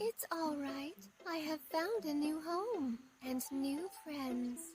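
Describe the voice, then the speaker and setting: A put-on character voice, female-sounding, high-pitched for a woman, at a very slow pace. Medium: read story. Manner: sweet, innocent.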